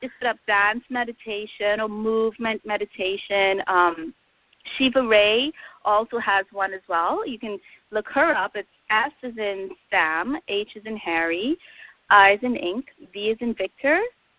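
A woman with a slight Trinidadian accent talks at a fairly slow pace and fairly high pitch. Her pitch varies in an ordinary way, while her loudness swings widely. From Trinidad and Tobago. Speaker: yoga instructor. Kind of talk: casual interview.

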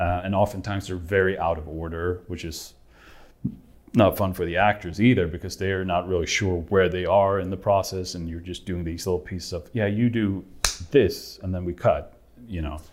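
A man with a Swedish accent talks at a moderate pace. His voice is very deep and low, with fairly even intonation. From Sweden. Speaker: film director. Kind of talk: interview.

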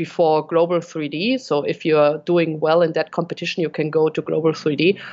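A woman speaks with a German accent. Her pitch sits fairly low. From Bavaria, Germany; Munich, Germany. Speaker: RC helicopter pilot and content creator. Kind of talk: casual interview chat.

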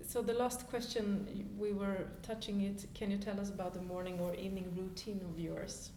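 Over noticeable background noise and audible room echo, a woman talks at a moderate pace with hardly any pauses, in a medium pitch and a flat, monotone delivery. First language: Swedish. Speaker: podcast host. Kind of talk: interview; podcast intro. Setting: yoga studio.

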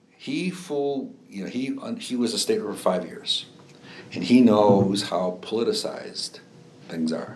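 Noticeable background noise surrounds a man speaking with a Chicago accent. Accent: Chicago-area Midwestern. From northwest Indiana, Lake County (Chicago area). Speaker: former state legislator and judge. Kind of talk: oral history interview. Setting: in-person interview. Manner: halting, many fillers and repetitions.

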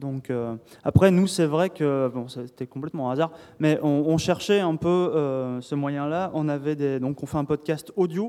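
Pitched fairly high, this man speaks in an ordinary speaking voice. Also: ordinary pitch variation, fairly slow pace. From southern France. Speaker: podcast host and games journalist. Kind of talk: panel discussion. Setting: stage with audience.

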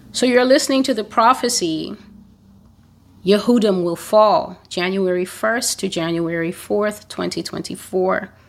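This woman has a plain, everyday voice, pitched at a medium level. She moves at a fairly slow pace with ordinary pitch variation. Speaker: prophecy blogger and preacher. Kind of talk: prophecy delivery, preaching. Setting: YouTube channel, solo recording. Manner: solemn, stern, declamatory.

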